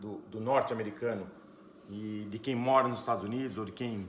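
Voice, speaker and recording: Moderate pace with audible room echo. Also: man. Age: 40s. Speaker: entrepreneur. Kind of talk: conference talk.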